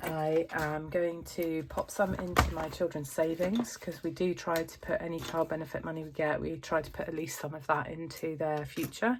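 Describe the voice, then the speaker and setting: A woman with a very deep, low pitch, over noticeable background noise. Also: moderate pace. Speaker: family budgeting vlogger. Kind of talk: casual vlog talk to camera. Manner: hesitant, many fillers.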